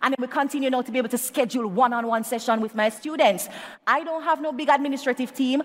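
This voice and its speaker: A woman speaks very fast in a high pitch. Her tone is animated. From Jamaica. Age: young. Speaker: public speaking coach. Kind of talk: motivational talk. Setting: live event with audience and online chat.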